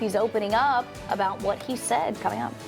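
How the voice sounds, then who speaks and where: A woman talks at a fairly high pitch while music runs in the background. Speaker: television news anchor and reporter. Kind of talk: television news anchor delivery. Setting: studio news desk, morning show.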